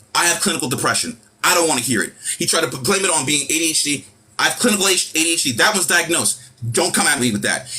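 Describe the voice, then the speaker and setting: Against noticeable background noise, a man with a New York accent talks at a very fast pace in an animated tone, with a fairly high pitch and lively intonation. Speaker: live stream host. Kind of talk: heated rant. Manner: loud.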